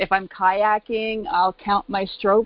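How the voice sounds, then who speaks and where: Her pace is fairly slow. The woman speaks at a medium pitch. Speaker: caller. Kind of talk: casual chat. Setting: phone call. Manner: animated.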